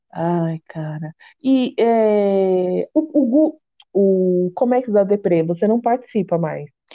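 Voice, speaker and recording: A woman speaks at a very slow pace with a medium pitch. Her intonation is lively. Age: 30s. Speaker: podcast host and confectioner. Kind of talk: casual chat.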